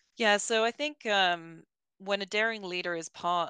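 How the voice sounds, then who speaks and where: In a British accent, a woman talks at a moderate pace with fairly even intonation and a bright, sharp tone, the sound dry and close with no echo against a quiet background. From Britain. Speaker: learning and development director. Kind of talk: interview. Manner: hesitant with fillers.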